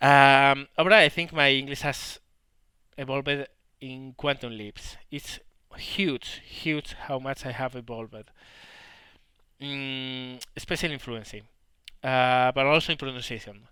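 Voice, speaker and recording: A man with a strong Spanish accent speaks at a fairly slow pace and medium pitch, his bright, sharp tone carrying fairly even intonation, big swings in loudness and long, frequent pauses in a very clean recording with a silent background. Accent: heavy Spanish. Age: 30s. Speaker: gaming YouTuber. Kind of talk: Q&A commentary. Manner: halting.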